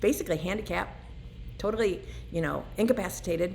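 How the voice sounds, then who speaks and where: An animated woman's voice with audible room echo. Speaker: recovering alcoholic vlogger. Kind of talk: personal testimony.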